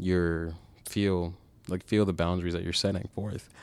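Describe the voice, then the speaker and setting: A man speaks with a very deep, low pitch in a monotone, flat intonation. The recording is very clean, with a silent background. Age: 20s. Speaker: student podcast host. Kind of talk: casual chat.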